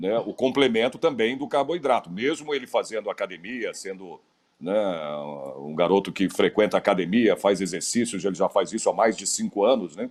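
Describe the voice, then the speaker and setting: At a moderate pace, a man with a plain, everyday voice speaks at medium pitch with lively intonation. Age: 60s. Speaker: interviewer. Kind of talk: interview.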